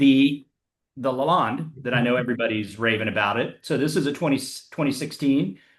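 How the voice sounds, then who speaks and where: Using a normal speaking voice, the man keeps a medium pitch and a moderate pace, and his pitch moves in an ordinary way. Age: 60s. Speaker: wine collector. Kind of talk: casual chat.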